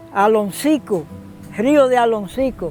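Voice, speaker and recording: With music playing behind him, a man speaks fairly slowly at an extremely high pitch, using ordinary pitch variation. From Dominican Republic, Cibao region. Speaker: farmer. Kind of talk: interview answer, oral history.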